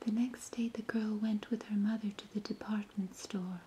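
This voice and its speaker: Someone whispers, soft-spoken and gentle in tone. The pace is fairly slow. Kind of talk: soft whispered bedtime story reading. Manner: soft-spoken, whispered, gentle.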